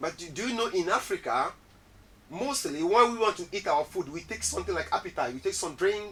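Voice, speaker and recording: A man's high-pitched, bright, sharp voice, fairly quick in pace, with lively intonation. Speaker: cultural show host. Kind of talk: casual interview.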